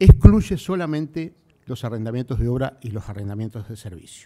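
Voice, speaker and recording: Against a quiet background, a man talks at a moderate pace and medium pitch with lively intonation and a dark, mellow tone. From Uruguay. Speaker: civil service official. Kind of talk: formal speech. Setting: stage with audience. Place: hall. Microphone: podium.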